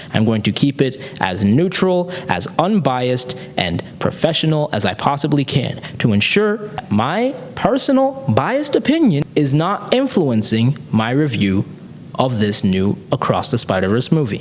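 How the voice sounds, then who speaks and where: Over noticeable background noise, a man speaks at a fairly slow pace in a fairly high pitch, with very wide pitch swings and very even loudness. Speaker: comic book movie reviewer. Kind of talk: video review. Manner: composed, serious.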